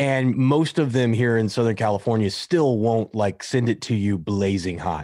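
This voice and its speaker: A plain, everyday voice speaks with an American accent at a moderate pace. Pitch variation is ordinary, and the background is quiet. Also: man. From United States. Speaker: entrepreneur and business coach. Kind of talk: interview conversation.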